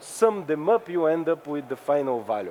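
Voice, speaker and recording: The man's voice sits fairly high, and his pitch varies in an ordinary way. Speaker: cryptography researcher. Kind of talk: technical workshop talk. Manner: fast; halting, many fillers and repeats.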